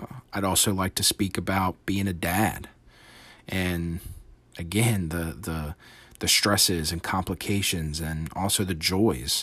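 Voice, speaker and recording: In a very clean recording with a silent background, a man with a very deep, low pitch speaks fairly slowly with fairly even intonation. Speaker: podcast host and aspiring entrepreneur. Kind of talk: solo podcast monologue. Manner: many fillers and lip smacks.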